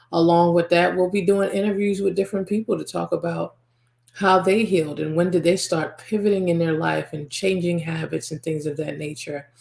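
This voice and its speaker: An ordinary speaking voice from a woman with an American accent, fairly low in pitch, fairly quick, with fairly even intonation. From US, Nigerian American family. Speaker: podcast host and spiritual healer. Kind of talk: podcast monologue.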